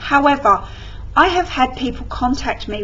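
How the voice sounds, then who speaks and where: A woman with an English accent speaks at a fairly slow pace. Noticeable background noise sits behind her. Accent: English accent, mistaken for London. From England. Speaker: scrapbooking vlogger. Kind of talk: tutorial. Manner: casual.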